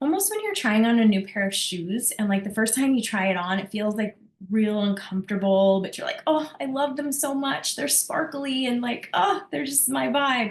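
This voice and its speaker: Over noticeable background noise, a woman with a fairly high pitch talks in an animated tone with lively intonation and hardly any pauses. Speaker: business coach. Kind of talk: group coaching call. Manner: fast.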